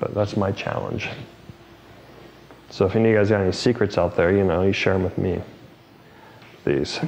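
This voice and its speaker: With noticeable background noise behind him, a man with a fairly low pitch talks at a fairly quick pace, using fairly even intonation and long, frequent pauses. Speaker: hairstylist and educator. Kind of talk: live haircutting tutorial. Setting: live studio broadcast with crew. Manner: fast; casual, rambling with fillers.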